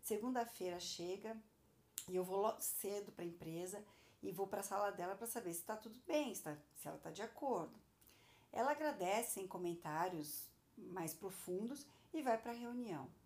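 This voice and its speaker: A woman's medium-pitched voice, lively intonation, and long, frequent pauses. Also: moderate pace. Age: 40s. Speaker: podcast host, entrepreneur. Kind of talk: personal monologue, podcast.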